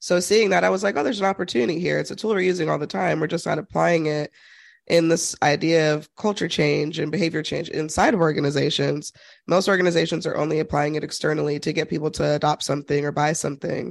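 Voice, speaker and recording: A woman talks at a very fast pace, her pitch very deep and low with ordinary variation and vocal fry. The background is quiet. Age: 30s. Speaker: narrative consultant and author. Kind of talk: interview.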